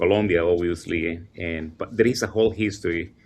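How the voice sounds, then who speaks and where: A man with a Spanish accent speaks with ordinary pitch variation against a quiet background. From El Salvador. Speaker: teacher and immigrant advocate. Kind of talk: panel discussion. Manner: halting, many fillers.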